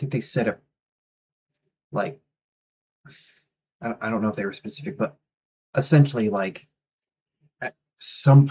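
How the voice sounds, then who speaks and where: A somewhat breathy male voice, dry and close with no echo. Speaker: music reviewer. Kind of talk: album review. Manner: halting, many fillers; casual.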